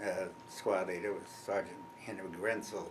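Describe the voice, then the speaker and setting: A man with a fairly low pitch speaks amid noticeable background noise and audible room echo. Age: 80s+. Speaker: war veteran. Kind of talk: interview. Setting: at home. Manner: halting.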